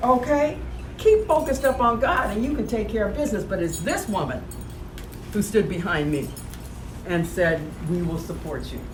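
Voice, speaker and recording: Against noticeable background noise and audible room echo, a woman at medium pitch speaks at a moderate pace with very wide pitch swings and long, frequent pauses. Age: 60s. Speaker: author at her book launch. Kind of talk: speech at a book release event.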